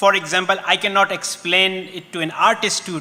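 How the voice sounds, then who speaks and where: At a moderate pace, a man with a Pakistani accent speaks through noticeable background noise. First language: Urdu. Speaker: panelist. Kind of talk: panel discussion.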